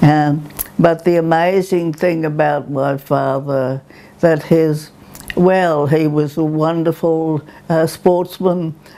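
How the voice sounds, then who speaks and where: Over noticeable background noise, a woman with a very deep, low pitch talks at a very slow pace in a monotone, flat intonation. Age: 90s. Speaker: ikebana teacher. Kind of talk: oral history interview. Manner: hesitant, reminiscing.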